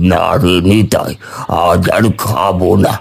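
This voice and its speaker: A man performs a cartoonish character voice pitched very deep and low. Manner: friendly, easygoing.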